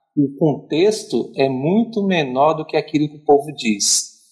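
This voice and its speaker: A man's voice sits at a fairly high pitch and sounds somewhat breathy. His intonation is lively. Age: 30s. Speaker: psychologist. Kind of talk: casual chat.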